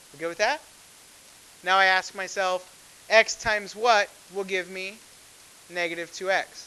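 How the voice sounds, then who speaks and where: A man speaks in a raised, projected voice with a high pitch. His intonation stays fairly even. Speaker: math teacher. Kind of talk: classroom lecture.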